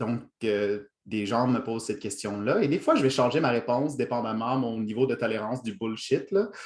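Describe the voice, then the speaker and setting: Here a man talks at a moderate pace in a medium pitch. His pitch varies in an ordinary way. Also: hardly any pauses. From Ontario, Franco-Ontarian (Toronto). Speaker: workshop trainer, lecturer. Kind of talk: lecture. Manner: hesitant, many fillers.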